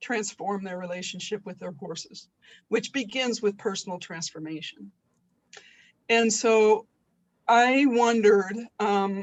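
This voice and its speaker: Her pitch medium with ordinary variation, a woman speaks at a fairly slow pace with long, frequent pauses and big swings in loudness. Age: 60s. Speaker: webinar participant, horse person and retiring teacher. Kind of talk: question in a webinar. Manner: halting.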